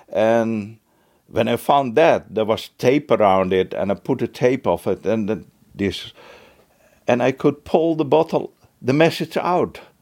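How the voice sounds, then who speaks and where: A man speaks with a Dutch accent. His intonation is lively. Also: medium pitch for a man, fairly slow pace. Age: 70s. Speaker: retired bookkeeper and beachcomber. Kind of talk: interview. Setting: at his home. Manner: hesitant, frequent fillers.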